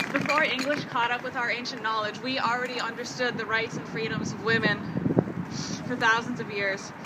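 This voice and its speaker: Over loud background noise, a woman with a fairly high voice speaks at a moderate pace. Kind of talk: impassioned rally speech to marchers. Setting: outdoor rally march. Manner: defiant, rousing calls to action; solemn, spiritual closing cadence. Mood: earnest, impassioned. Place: open country.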